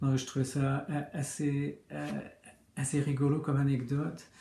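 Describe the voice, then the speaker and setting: This man has a fairly high, somewhat breathy voice. He speaks at a fairly slow pace. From Quebec. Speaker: comic book author. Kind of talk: interview answers. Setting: video recording. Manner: hesitant, many fillers.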